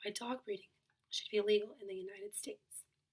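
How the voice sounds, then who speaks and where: Quiet and somewhat breathy, a woman speaks at a fairly high pitch with monotone, flat intonation. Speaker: college student. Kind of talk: class presentation.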